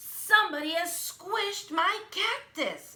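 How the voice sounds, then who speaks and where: A woman shouts in a put-on character voice, growling at an extremely high pitch. Her intonation is lively and her pace is fairly slow. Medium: read story. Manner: shouting, indignant.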